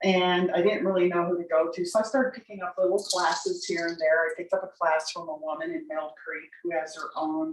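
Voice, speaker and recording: A woman with an American accent and an unremarkable speaking voice talks at a fairly quick pace with hardly any pauses. Her pitch is fairly low and her intonation fairly even. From Utah. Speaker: herbalist. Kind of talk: class talk.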